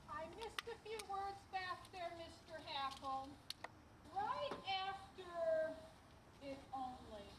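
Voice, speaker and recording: In a squeaky, extremely high put-on character voice, the speaker goes very slowly with long, frequent pauses, with clear background noise and slight echo. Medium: stage play.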